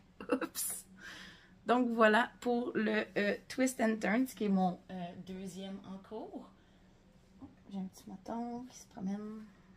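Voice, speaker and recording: A woman with a Quebec accent speaks at a very slow pace with a fairly high pitch, a somewhat breathy voice, ordinary pitch variation, big swings in loudness, and long, frequent pauses. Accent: Québécois French. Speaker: knitting podcaster. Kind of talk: casual chat. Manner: hesitant, many fillers.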